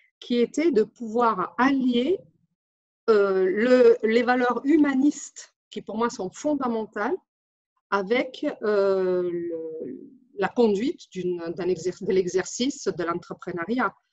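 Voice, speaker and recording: At a very slow pace and a fairly high pitch, a woman speaks with lively intonation in a dry, close sound with no echo. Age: 40s. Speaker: translator and interpreter, business owner. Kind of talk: testimonial. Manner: halting, many hesitations.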